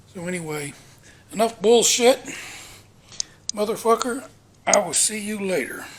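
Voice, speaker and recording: A high-pitched man speaks with lively intonation and big swings in loudness. Long, frequent pauses break up his speech over noticeable background noise. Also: moderate pace. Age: 60s. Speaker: vlogger. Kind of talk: casual monologue. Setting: walking around home.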